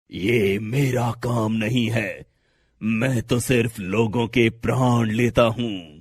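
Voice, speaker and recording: A raspy, cartoonish character voice drags along at a very slow pace. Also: man, medium pitch for a man. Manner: stern, authoritative.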